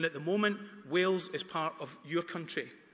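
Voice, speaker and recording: With a slight Dundonian accent, a man talks at a fairly quick pace and a high pitch, with noticeable background noise behind him. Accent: faint Dundonian Scottish. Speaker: campaign speaker. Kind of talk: debate speech. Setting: town hall with student audience.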